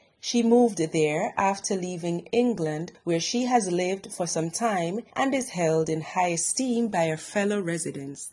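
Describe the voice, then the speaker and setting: At a fairly slow pace with hardly any pauses, a woman speaks in a plain, everyday voice at medium pitch with ordinary pitch variation. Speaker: news reporter. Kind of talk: news report narration.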